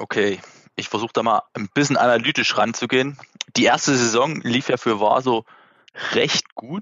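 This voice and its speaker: A man's medium-pitched voice in a Saxon accent, moderate in pace, with ordinary pitch variation and long, frequent pauses. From Saxony, Dresden. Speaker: amateur ice hockey player. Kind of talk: casual chat.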